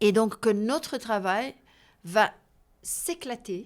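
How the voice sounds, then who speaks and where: Recorded very cleanly against a silent background, a woman speaks in a fairly high pitch with ordinary pitch variation. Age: 60s. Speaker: abuse survivor and healing workshop leader. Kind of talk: interview. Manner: halting, with repetitions and hesitations.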